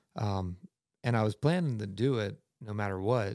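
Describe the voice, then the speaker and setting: A man with an American accent and a fairly low pitch speaks in a very clean recording with a silent background and a dry, close sound with no echo. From US, western Maryland (Garrett County). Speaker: whitewater kayaker and climber. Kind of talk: casual chat. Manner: animated storyteller.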